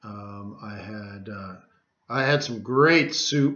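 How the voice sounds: Speaking at a very slow pace, a man with medium pitch and a fairly bright tone shows ordinary pitch variation.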